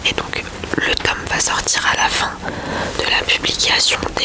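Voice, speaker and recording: A fairly slow whisper is heard with noticeable background noise. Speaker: ASMR creator. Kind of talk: ASMR book review talk. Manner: whispered.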